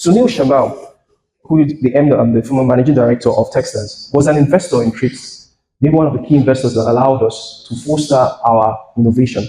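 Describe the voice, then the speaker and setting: A fairly quick, somewhat breathy male voice of medium pitch, dark and mellow in tone, with ordinary pitch variation. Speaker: tech company founder and CEO. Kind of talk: keynote speech. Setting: stage with audience.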